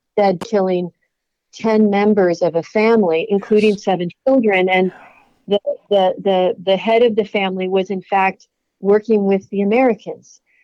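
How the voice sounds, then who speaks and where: Her voice is a normal speaking voice, medium in pitch for a woman, with fairly even intonation, very even loudness and a moderate pace. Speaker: religion professor and author. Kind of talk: interview.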